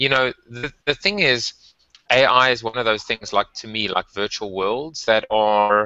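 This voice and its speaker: A man with a South African accent at a fairly slow pace. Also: medium pitch for a man. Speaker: tech and marketing podcast co-host. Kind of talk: casual chat.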